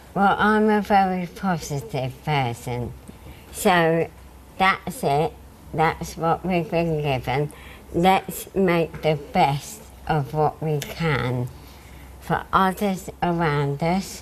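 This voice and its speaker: Noticeable background noise surrounds a woman with a fairly low pitch. She speaks at a very slow pace with ordinary pitch variation. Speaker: patient with motor neuron disease. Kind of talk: TV interview.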